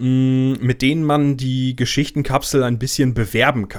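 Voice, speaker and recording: At a very slow pace, a man talks in a medium-pitched voice on a very clean recording with a silent background. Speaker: podcast host. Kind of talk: casual chat.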